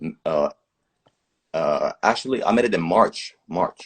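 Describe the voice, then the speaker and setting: A man speaks with a Dutch accent. The sound is dry and close, with no echo. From southern Netherlands. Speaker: musician. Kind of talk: casual interview chat.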